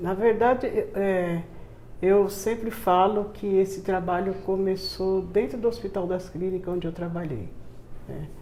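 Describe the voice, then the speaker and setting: In a room with audible echo, a woman talks at a fairly slow pace, her medium pitch held in fairly even intonation. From Brazil, São Paulo. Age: 70s. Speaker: community charity founder. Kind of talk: interview testimony.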